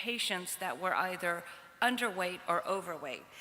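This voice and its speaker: A woman with a New York accent speaks at a medium pitch. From US Northeast, New York. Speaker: pediatric oncology nutrition researcher. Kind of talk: conference lecture.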